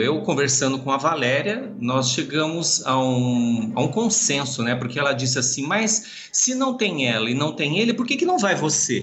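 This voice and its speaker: Amid noticeable background noise and audible room echo, a man with a fairly high pitch speaks at a moderate pace with very wide pitch swings. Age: 50s. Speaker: marching band drum major and choreographer. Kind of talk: casual interview.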